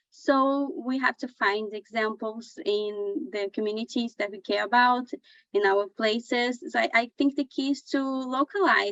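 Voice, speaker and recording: Speaking at a fairly slow pace, a woman with a high pitch and a Portuguese accent uses ordinary pitch variation. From Brazil. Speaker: journalist. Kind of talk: panel discussion.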